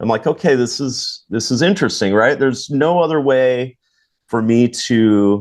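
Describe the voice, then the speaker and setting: A normal speaking voice, with ordinary pitch variation and a moderate pace, comes through against a quiet background. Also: man, medium pitch for a man. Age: 40s. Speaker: charter fishing captain and podcast host. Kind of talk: casual chat.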